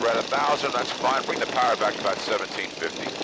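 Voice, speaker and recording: A man rushes along at a very fast pace as noticeable background noise plays behind him. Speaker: flight instructor. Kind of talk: in-flight instruction. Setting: airplane cockpit intercom.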